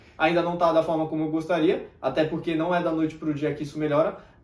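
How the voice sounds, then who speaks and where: Room echo is audible as a man talks with fairly even intonation. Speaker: self-improvement youtuber and mentor. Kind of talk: motivational talk to camera. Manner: tends to speak softly.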